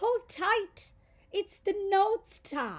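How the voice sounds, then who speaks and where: A woman uses a put-on character voice. It is squeaky and extremely high in pitch. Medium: read story.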